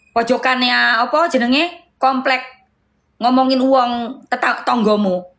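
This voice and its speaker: A loud woman's voice, high in pitch, at a fairly slow pace with ordinary pitch variation. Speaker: live streamer. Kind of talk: heated live stream argument. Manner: loud, raised voice.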